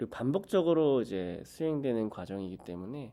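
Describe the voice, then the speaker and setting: At a moderate pace, a man speaks in a dark, mellow tone with very wide pitch swings. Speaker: graduate student researcher. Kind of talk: lecture.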